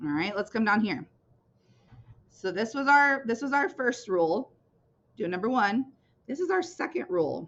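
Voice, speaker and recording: Her pitch fairly high and swinging very widely, a woman speaks at a moderate pace with long, frequent pauses. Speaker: teacher. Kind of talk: lesson. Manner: casual, conversational.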